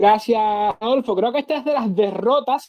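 Pitched fairly high, this woman has an ordinary speaking voice whose pitch moves in an ordinary way. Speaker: podcast host. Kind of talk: sports commentary intro.

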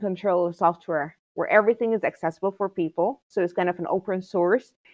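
With an Arabic accent, a woman speaks at a medium pitch. Her pitch varies in an ordinary way. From Egypt. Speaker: architect and graduate student. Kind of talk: interview answers.

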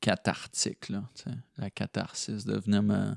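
The sound is dry and close, with no echo, on a very clean recording with a silent background. The pace is fairly slow. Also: man. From Quebec, rural Chaudière-Appalaches near Thetford Mines. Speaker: slam poet. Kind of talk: casual interview. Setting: host's living room. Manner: halting, many repetitions.

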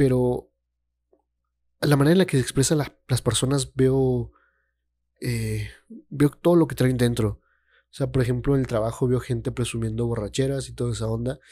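Long, frequent pauses break up this man's moderate pace, in a Mexican accent. His medium-pitched voice has a dark, mellow tone and fairly even intonation. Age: 20s. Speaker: podcaster. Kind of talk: casual monologue. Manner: hesitant, many fillers.

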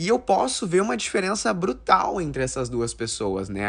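A man speaks with a fairly high pitch at a moderate pace. His pitch swings very widely. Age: 20s. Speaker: podcast host. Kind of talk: casual monologue.

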